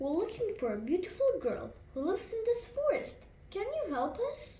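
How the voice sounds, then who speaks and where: A woman's put-on character voice, extremely high-pitched with very wide pitch swings, at a moderate pace over light background noise. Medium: read story.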